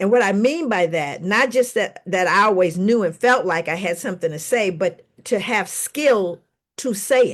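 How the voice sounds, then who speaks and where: A woman with an unremarkable speaking voice talks at medium pitch and a moderate pace. Her intonation is lively, and the background is quiet. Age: 60s. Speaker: psychologist and author. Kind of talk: panel discussion.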